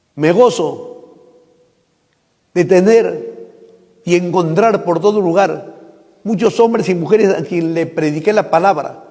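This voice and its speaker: A man with a high voice speaks at a very slow pace, with long, frequent pauses and ordinary pitch variation. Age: 60s. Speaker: pastor. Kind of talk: public statement. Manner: formal.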